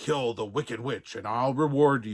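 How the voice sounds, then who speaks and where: A man's growling, put-on character voice at a medium pitch. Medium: read story.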